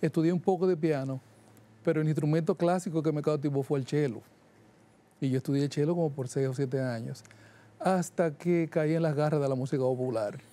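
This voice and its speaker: The speaker talks at a fairly quick pace in a Dominican Cibao accent, yet leaves long, frequent pauses. The tone is dark and mellow, with ordinary pitch variation. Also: man, fairly high pitch for a man. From Dominican Republic, Santiago de los Caballeros; Dominican Republic. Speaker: jazz musician and music producer; guest. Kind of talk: interview. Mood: relaxed, friendly. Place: studio. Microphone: lapel.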